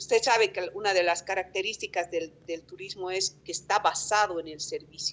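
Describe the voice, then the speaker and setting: A woman talks at a moderate speed as her pitch swings very widely. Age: 50s. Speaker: tourism business representative. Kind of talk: interview. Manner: hesitant, with fillers.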